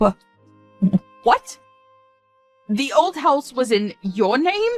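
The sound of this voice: Doing a put-on character voice, a woman talks at a very slow pace in a high pitch with big pitch swings, the sound dry and close with no echo and faint music behind.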